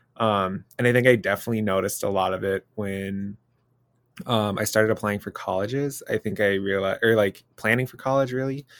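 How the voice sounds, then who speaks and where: A man's unremarkable speaking voice, fairly low in pitch, fairly quick in pace, with fairly even intonation. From Minnesota suburbs. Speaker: university student, trainee teacher. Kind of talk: casual chat.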